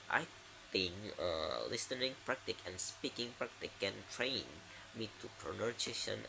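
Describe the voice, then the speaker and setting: A man with an Indonesian accent at a fairly slow pace, over noticeable background noise. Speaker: university student. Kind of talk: class presentation. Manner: halting, many fillers.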